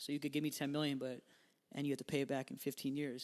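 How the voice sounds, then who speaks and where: Delivered at a very fast pace with a monotone, flat intonation, the speech comes with an American accent. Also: man. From New York. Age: 20s. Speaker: musician. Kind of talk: interview.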